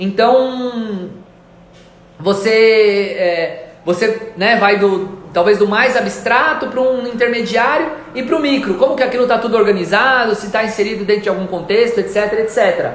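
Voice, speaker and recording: A man's high voice at a moderate pace, with ordinary pitch variation, audible room echo and noticeable background noise. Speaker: art gallery owner. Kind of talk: live stream talk. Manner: halting.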